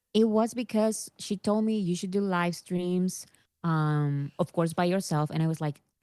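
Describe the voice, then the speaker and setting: With a strong non-native accent, a woman talks at a fairly slow pace in a fairly low pitch, her tone dark and mellow and her pitch variation ordinary, over a quiet background. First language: not English. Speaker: YouTuber. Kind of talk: interview. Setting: video call.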